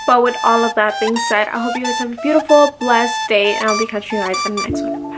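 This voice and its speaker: A woman's fairly high voice over music in the background. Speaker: beauty and fragrance youtuber. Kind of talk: product review vlog. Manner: animated.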